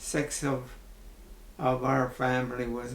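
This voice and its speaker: Very slow, monotone, flat speech from a man with an Ontario accent, medium pitch, and audible room echo. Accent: rural Ontario Canadian. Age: 80s+. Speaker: retired farmer. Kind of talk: interview.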